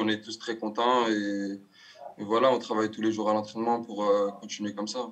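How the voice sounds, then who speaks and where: A man speaks at a medium pitch against a quiet background. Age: 20s. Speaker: footballer; guest. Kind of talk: casual chat. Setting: video call. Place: home room. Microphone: video call.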